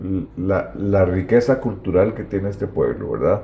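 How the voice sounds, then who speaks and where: An unremarkable speaking voice with ordinary pitch variation unfolds at a fairly slow pace. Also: man. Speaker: local history video host. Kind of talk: interview about local history. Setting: at the guest's home.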